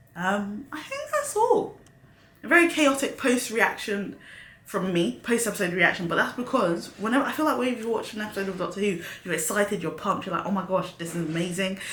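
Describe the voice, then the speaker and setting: An animated voice with lively intonation moves at a fairly quick pace amid noticeable background noise and audible room echo. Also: woman, medium pitch for a woman. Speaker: YouTube reaction host. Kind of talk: casual review monologue.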